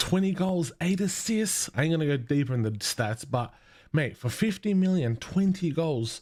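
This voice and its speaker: A man in a normal speaking voice talks at a moderate pace with lively intonation. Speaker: football fan vlogger. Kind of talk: casual fan commentary.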